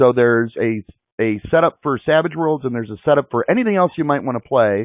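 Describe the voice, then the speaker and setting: This man has a Chicago accent. His pitch sits in the medium range, with ordinary pitch variation. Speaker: webinar host. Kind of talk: live online interview.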